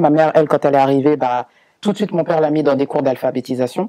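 A man at a fast pace, fairly high in pitch, dark and mellow in tone, with ordinary pitch variation

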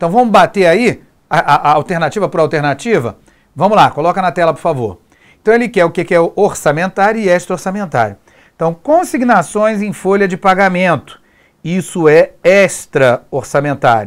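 Against a quiet background, a man talks in a high voice with lively intonation. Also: moderate pace. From Brazil. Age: 40s. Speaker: exam prep teacher. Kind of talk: lecture. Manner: informal, frequent filler 'né'. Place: studio. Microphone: lapel.

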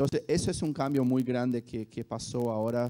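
Against a quiet background, a man with a Brazilian accent speaks fairly slowly in a dark, mellow tone, his intonation fairly even. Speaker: esports company executive. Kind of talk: panel discussion. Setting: stage with audience. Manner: halting. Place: hall. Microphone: handheld.

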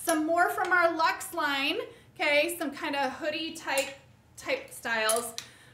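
A woman speaks in a raised, projected voice at a fairly slow pace with ordinary pitch variation, with audible room echo and light background noise. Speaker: boutique host. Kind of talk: live product presentation. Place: studio.

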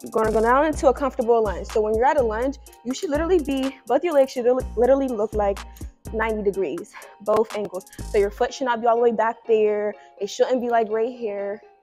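A woman's voice at a fairly quick pace, with ordinary pitch variation and faint music in the background. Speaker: fitness instructor. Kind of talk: tutorial. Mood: casual, playful. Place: gym.

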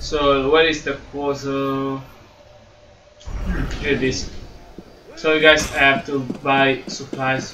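Over noticeable background noise, a man with a non-native accent speaks very slowly in a flat monotone, with long, frequent pauses. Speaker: gaming YouTuber. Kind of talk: gameplay commentary. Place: home room.

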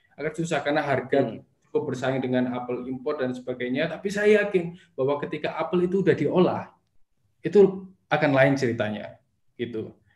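A man speaks at a fairly quick pace in a fairly high, somewhat breathy voice with ordinary pitch variation. The background is quiet, with audible room echo. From Batu, Malang, East Java, Indonesia; East Java, Indonesia. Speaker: small business founder; guest. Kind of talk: interview. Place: home room. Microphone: video call.

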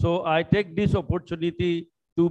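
The man speaks with a high pitch. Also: quiet background. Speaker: guest lecturer. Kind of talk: lecture. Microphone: video call.

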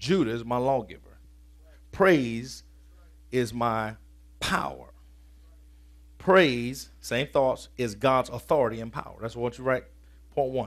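Energetic in tone, a man speaks at a fairly slow pace with long, frequent pauses and ordinary pitch variation against a quiet background. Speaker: preacher. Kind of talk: sermon. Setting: church. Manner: colloquial and energetic, shifting from scripture reading to punchy vernacular. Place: church. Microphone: headset.

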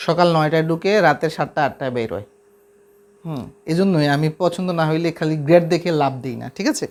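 Using a normal speaking voice, a man talks with a fairly high pitch and ordinary pitch variation. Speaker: math YouTuber and polytechnic lab instructor. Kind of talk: casual vlog talk to viewers.

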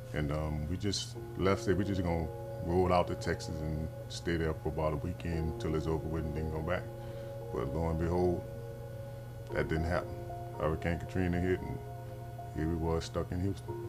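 Clear music plays in the background while a man talks with ordinary pitch variation and long, frequent pauses. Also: moderate pace. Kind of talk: interview answer. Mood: reflective storytelling. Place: shop.

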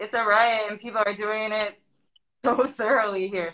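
An ordinary speaking voice with an American accent is heard against a quiet background. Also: woman. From US Midwest, Madison, Wisconsin; Wisconsin. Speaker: graffiti artist; guest. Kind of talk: interview. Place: home room. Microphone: webcam.

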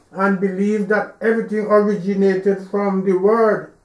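With audible room echo and a quiet background, a man talks in a high pitch with monotone, flat intonation. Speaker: preacher. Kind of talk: religious sermon or teaching delivered to an audience; sermon. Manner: preachy, admonishing, didactic. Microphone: podium.

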